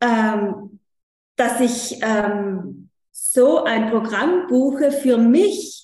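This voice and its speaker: Speaking at a fairly high pitch, this woman is heard with audible room echo. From South Tyrol, Italy. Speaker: coach for mothers. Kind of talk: interview. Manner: halting, many fillers.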